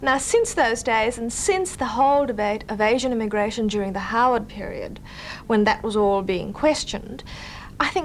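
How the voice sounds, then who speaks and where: A woman with a fairly high voice speaks against noticeable background noise. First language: Indonesian. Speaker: journalist and author. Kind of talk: interview. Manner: hesitant, with fillers.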